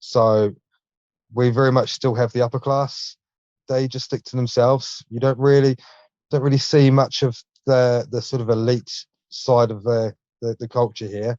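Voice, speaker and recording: With a New Zealand accent, a man speaks at a moderate pace with long, frequent pauses, a dark, mellow tone and monotone, flat intonation, the sound dry and close with no echo. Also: medium pitch for a man. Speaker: junk removal business owner. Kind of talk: casual interview chat.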